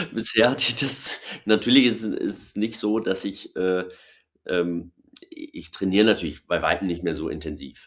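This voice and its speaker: A man with a fairly low pitch talks at a moderate pace with ordinary pitch variation in an unremarkable speaking voice. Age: 40s. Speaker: former pro cyclist and TV commentator. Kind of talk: casual webinar conversation. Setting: online webinar.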